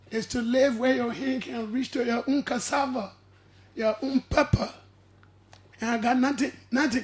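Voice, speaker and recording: The speech runs at a moderate pace, broken by long, frequent pauses. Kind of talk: radio talk show discussion. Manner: preachy.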